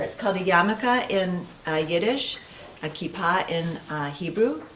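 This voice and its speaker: A woman's medium-pitched voice with lively intonation, audible room echo and noticeable background noise. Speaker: guest speaker. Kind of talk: interactive workshop presentation. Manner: quiet.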